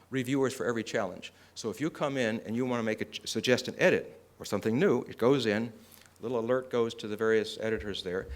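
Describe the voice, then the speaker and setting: A man at a very fast pace, medium in pitch with ordinary pitch variation. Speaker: conference speaker. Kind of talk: conference presentation.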